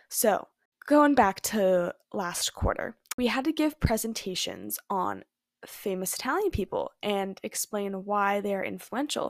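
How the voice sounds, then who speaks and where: A woman with a Californian accent talks at a fairly slow pace in a medium pitch. The sound is dry and close, with no echo. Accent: Californian American. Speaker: podcaster, college student. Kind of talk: casual solo chat. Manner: casual, frequent 'like'.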